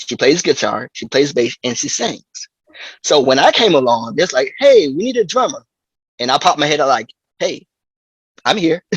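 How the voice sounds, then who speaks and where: Speaking at a moderate pace with long, frequent pauses, a man talks with a slight Southern US accent. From US South. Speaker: drummer. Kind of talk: interview. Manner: halting.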